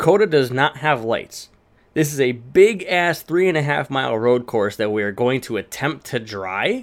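An unremarkable speaking voice from a man at medium pitch, with lively intonation, a moderate pace, and a very clean recording over a silent background. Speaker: podcast host. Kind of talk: casual chat.

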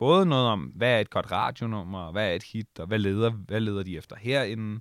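Fairly low in pitch, a man talks at a fairly slow pace with ordinary pitch variation. The sound is dry and close with no echo, on a very clean recording with a silent background. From Bornholm, Denmark. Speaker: radio host and DJ. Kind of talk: casual interview chat. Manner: hesitant with many fillers and repetitions.

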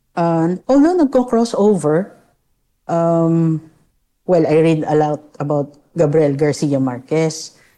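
A woman with a fairly low pitch and dark, mellow tone speaks very slowly with lively intonation over a quiet background. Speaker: psychologist. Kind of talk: interview.

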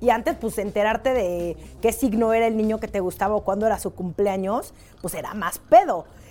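In a Mexican accent, a woman speaks at a fairly quick pace and a fairly high pitch. Her tone is dark and mellow, with ordinary pitch variation. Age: 30s. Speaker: podcast host. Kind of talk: casual chat.

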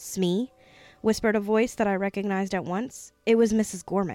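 Mostly level intonation in natural reading

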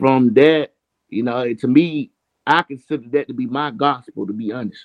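A man speaks with a Southern US accent. His pitch sits in the medium range. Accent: Southern US (Georgia). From Georgia, US South. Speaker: indie hip hop artist. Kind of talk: casual interview.

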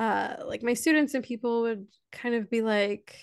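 A woman talks at a fairly slow pace in a fairly high pitch. It is a normal speaking voice. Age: 30s. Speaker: educator. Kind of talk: casual chat.

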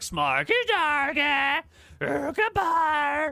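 A high-pitched, put-on character voice. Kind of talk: nonsense goblin language. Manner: mocking, taunting.

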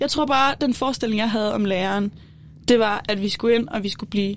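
A woman speaks at a medium pitch with ordinary pitch variation. Hers is an unremarkable speaking voice. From Denmark, Kolding. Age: 20s. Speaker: student. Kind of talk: casual chat. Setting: studio.

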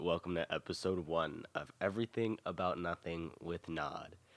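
A raspy, put-on character voice moves at a moderate pace with fairly even intonation, the sound dry and close with no echo. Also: man, very deep, low pitch for a man. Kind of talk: casual podcast intro.

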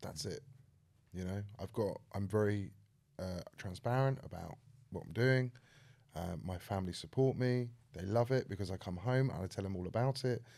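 With long, frequent pauses, a man speaks at a moderate pace in a fairly low, dark, mellow voice with ordinary pitch variation. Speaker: podcast host. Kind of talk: casual interview chat.

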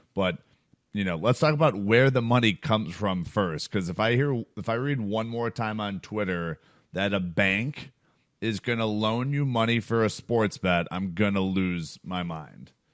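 Over a quiet background, a man with an American accent and a normal speaking voice talks at a fairly low pitch and moderate pace with ordinary pitch variation. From Chicago. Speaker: sports betting podcast co-host and company co-founder. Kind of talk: casual chat.

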